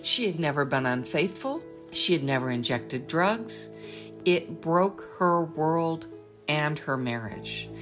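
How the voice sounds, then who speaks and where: Music plays in the background as a woman talks at a fairly slow pace in a fairly low voice. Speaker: author and interviewer. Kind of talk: interview introduction.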